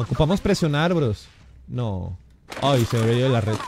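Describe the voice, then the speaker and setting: Over noticeable background noise, a man talks in an animated tone with lively intonation, the sound dry with no echo. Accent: Mexican. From Mexico, Jalisco. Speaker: gaming streamer. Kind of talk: live game stream chat. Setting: live stream. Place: home room. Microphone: headset.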